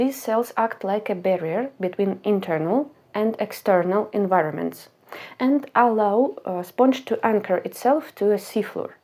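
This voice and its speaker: A woman with a non-native accent, a dark, mellow tone and a fairly high pitch, at a fairly slow pace with ordinary pitch variation. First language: not English. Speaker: science educator. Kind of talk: educational explainer.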